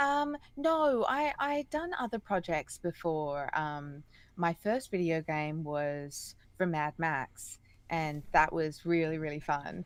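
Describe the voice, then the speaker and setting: In an Australian accent, a woman speaks at a very slow pace with a fairly low pitch. Her intonation is lively, and the recording is very clean with a silent background. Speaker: singer and voice actress. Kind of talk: interview conversation. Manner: hesitant, many fillers.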